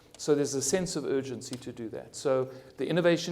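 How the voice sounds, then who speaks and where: In a room with audible echo, a man speaks at a fairly high pitch with fairly even intonation. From South Africa. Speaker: cardiologist and hospital innovation executive. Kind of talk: conference panel discussion. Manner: halting, frequent stammered restarts.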